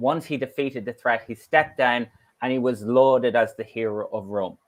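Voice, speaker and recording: A man speaks here. He has an Irish accent. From Ireland. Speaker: law professor. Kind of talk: lecture. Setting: online conference talk.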